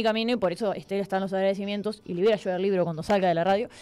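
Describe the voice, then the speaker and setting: A woman with a Uruguayan accent speaks at a medium pitch with ordinary pitch variation. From Uruguay, La Paloma (Rocha). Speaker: writer and journalist. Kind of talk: interview.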